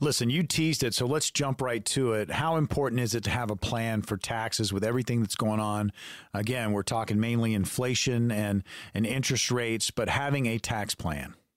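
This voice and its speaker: In an ordinary speaking voice, a man at a medium pitch holds very even loudness, with a dry, close sound, no echo, and a very clean recording over a silent background. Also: ordinary pitch variation. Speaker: radio co-host and consumer advocate. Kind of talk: radio announcer, upbeat promo and interview questions. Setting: radio studio. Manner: polished, upbeat, announcer-like pitch.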